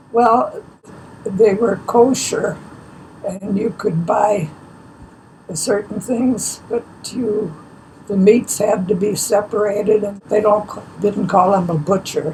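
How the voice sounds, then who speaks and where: A woman's medium-pitched voice with an American accent, very slow and broken by long, frequent pauses, with fairly even intonation over noticeable background noise. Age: 90s. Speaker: elderly local resident. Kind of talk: oral history interview.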